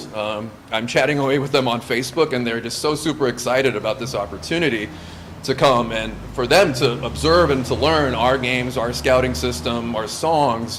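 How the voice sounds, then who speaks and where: A man with a Californian accent speaks at a moderate pace and medium pitch, with ordinary pitch variation. Noticeable background noise and audible room echo are present. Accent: Californian American English. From US West Coast, Santa Monica, California, Lithuanian household. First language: Lithuanian. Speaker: scout camp leader. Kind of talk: interview. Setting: in person, Santa Monica.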